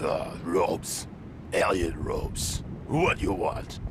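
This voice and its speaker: A man puts on a character voice at a fairly slow pace, with loud background noise behind him. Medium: video game. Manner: curt, hostile.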